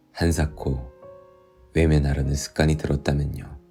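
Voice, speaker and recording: A man with a very deep, low pitch at a very slow pace, music in the background. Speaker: actor. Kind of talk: audiobook reading. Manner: calm, soothing.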